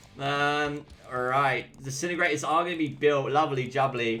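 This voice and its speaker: This man has an English accent. The pitch of his voice varies in an ordinary way. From England. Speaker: gaming streamer and caster. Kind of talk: live game commentary with chat. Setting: live stream. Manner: casual, chatty.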